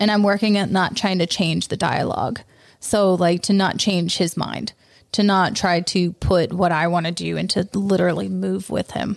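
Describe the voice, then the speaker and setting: A woman speaks at medium pitch and a moderate pace, with ordinary pitch variation, in a normal speaking voice. The recording is very clean, with a silent background. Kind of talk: casual chat.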